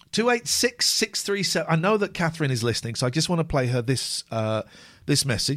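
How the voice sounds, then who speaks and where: With a British accent and an animated tone, a man talks at a fairly quick pace, his fairly high voice showing vocal fry and very wide pitch swings. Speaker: phone-in radio host. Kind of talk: live phone-in radio show, comedic chat. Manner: animated, joking.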